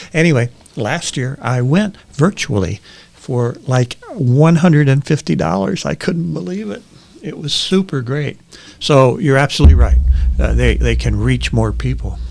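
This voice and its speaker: A man in an American accent talks at a moderate pace, noticeable background noise behind him. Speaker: panel guest, event industry professional. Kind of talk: casual panel discussion.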